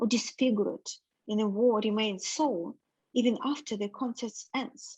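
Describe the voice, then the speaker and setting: In a non-native accent, a woman speaks at a fairly slow pace and a fairly high pitch. Her pitch varies in an ordinary way, and the sound is dry and close with no echo. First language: not English. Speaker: reading group participant. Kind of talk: reading aloud.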